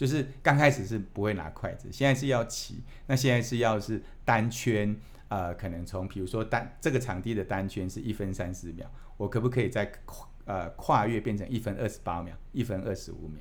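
Moderate pace and ordinary pitch variation from a man with a fairly low voice. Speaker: company executive. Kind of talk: interview. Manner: hesitant, many fillers.

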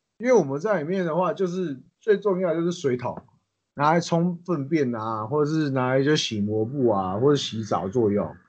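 Here a man talks at a moderate pace with a fairly high pitch. His pitch swings very widely. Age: 20s. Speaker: ex-convict turned chef. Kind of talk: casual chat.

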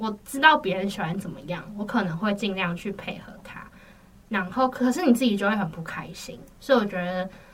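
Over noticeable background noise, a woman at a medium pitch speaks at a fairly quick pace with big swings in loudness. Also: lively intonation. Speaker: university student. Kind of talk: casual chat.

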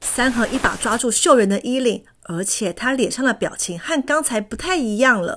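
A woman speaks with a fairly high pitch. Her pace is moderate. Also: lively intonation, fairly bright tone.

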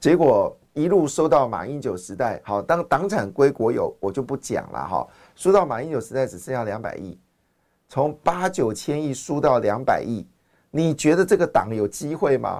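A man with vocal fry speaks at a moderate pace, his fairly high pitch swinging very widely. The recording is very clean, with a silent background. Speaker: finance podcast host. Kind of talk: market commentary monologue. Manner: animated, many fillers.

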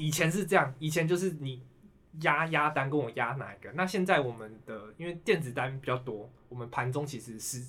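A man with a Taiwanese accent, fairly high in pitch, bright and sharp in tone, at a moderate pace, with ordinary pitch variation and big swings in loudness. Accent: Taiwanese Mandarin. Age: 20s. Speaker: securities worker, finance expert. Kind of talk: casual chat.

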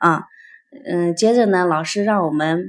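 A woman of medium pitch speaks with lively intonation. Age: 30s. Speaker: piano teacher and art school owner. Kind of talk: interview about personal growth. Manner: halting, many fillers.

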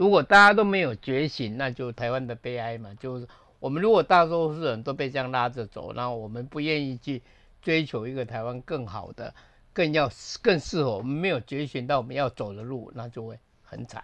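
Over a quiet background, a man with a bright, sharp tone and lively intonation speaks at a fairly quick pace, his loudness swinging widely. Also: medium pitch for a man. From Taiwan. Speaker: film director. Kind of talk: casual chat.

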